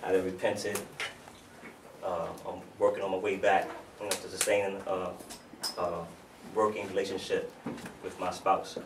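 A man talks at a moderate pace, with long, frequent pauses. Noticeable background noise runs behind him. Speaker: spoken word poet. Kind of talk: casual storytelling to live audience. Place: hall. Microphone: camera far.

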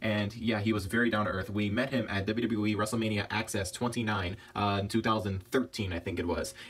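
A man with a fairly low pitch talks at a moderate pace in a somewhat breathy, monotone, flat delivery. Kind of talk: casual collection showcase narration. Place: home room. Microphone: phone near.

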